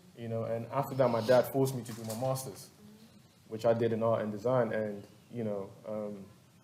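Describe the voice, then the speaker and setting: Audible room echo surrounds a man speaking at medium pitch and a fairly quick pace with fairly even intonation. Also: long, frequent pauses. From Ghana. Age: 30s. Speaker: visual artist. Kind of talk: panel artist talk. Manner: halting, repetitive.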